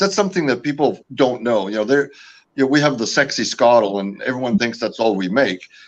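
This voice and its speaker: Lively intonation runs through this voice, which carries an American accent. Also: man. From California. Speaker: company founder and owner. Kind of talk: interview. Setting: live video show. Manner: hesitant, many fillers.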